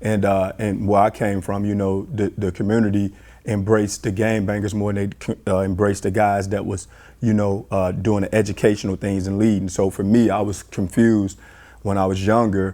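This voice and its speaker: At a moderate pace, a man speaks in a fairly low pitch with a dark, mellow tone and monotone, flat intonation. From US Midwest, Chicago. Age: 40s. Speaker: basketball coach. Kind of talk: interview. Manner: halting, many fillers and repeats.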